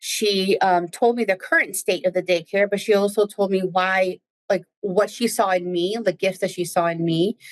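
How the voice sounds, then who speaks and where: A woman with a Spanish accent speaks with hardly any pauses. Her medium-pitched voice has fairly even intonation. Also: moderate pace, very even loudness. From New Jersey, Spanish-speaking Dominican family. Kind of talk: casual interview chat.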